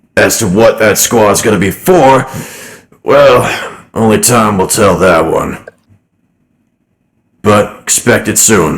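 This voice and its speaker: Using a put-on character voice, a man talks at a fairly slow pace and medium pitch, with long, frequent pauses. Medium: actual play. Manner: casual, folksy, easygoing.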